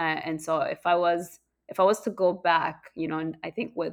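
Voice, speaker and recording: In a very clean recording with a silent background, a woman speaks at a moderate pace in a fairly low pitch with vocal fry. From East Africa (Uganda-born, raised in Kenya). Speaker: food entrepreneur. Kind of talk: interview. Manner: hesitant, many fillers and repeats.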